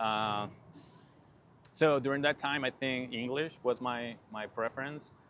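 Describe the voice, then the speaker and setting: Speaking at a fairly slow pace with long, frequent pauses, a man with a Spanish accent keeps his intonation fairly even. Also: medium pitch for a man. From Peru. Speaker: PhD student, plant biologist. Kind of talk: podcast interview. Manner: halting.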